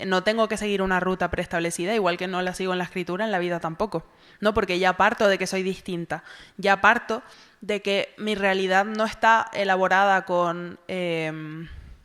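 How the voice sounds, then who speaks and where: On a very clean recording with a silent background, a woman with a Canarian accent speaks at a moderate pace and medium pitch in a monotone, flat intonation. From Tenerife, Canary Islands (south, Granadilla de Abona). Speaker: novelist. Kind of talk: literary festival conversation.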